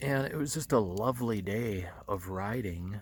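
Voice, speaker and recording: A man speaks quietly at a fairly slow pace. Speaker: motorcycle vlogger. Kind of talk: casual vlog talk to camera. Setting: outdoors at night campsite. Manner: speaking quietly; halting, many fillers.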